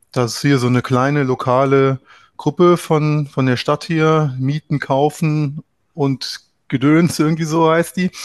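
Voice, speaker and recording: A man with a plain, everyday voice and a fairly high pitch speaks at a fairly slow pace with fairly even intonation, in a dry, close sound with no echo and a quiet background. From Trier area, Rhineland-Palatinate, Germany. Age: 30s. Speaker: landlord, property investor. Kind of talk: interview.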